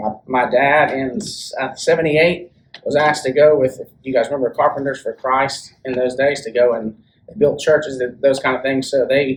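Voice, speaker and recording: A somewhat breathy man with a Southern US accent and a fairly high pitch. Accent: Southern US (Georgia). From US South, Rome, Georgia. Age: 40s. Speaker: church member giving testimony. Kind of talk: testimony. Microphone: speaking without the microphone.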